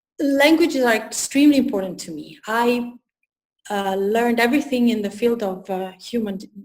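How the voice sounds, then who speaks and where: Speaking at a moderate pace with an Italian accent, a woman with a fairly high voice shows big swings in loudness amid audible room echo. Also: ordinary pitch variation. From Italy. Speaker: personal development coach. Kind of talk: interview. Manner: halting.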